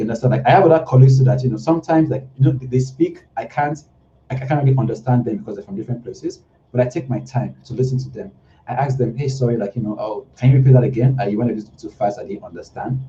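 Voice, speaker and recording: Very fast and somewhat breathy, a man speaks at a medium pitch with a dark, mellow tone and big swings in loudness. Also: ordinary pitch variation. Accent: Nigerian. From Nigeria. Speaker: UI/UX designer. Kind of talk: casual interview chat.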